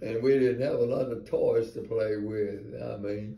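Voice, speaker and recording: A man speaks very slowly in a somewhat breathy voice with ordinary pitch variation, and audible echo fills the room. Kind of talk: casual storytelling to family. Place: home room. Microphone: phone near.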